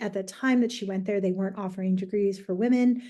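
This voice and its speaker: A woman speaks with a dark, mellow tone at a fairly high pitch, her intonation fairly even. The background is quiet. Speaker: teacher presenting a workshop. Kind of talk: educational workshop presentation. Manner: casual with frequent fillers.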